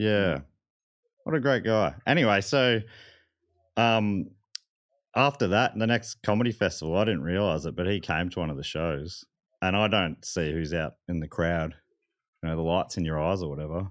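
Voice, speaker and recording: Long, frequent pauses break up a man's speech in an Australian accent. His voice is very deep and low, with lively intonation at a moderate pace. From Melbourne, Australia (Moorabbin). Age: 30s. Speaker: comedian and podcaster. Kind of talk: casual chat.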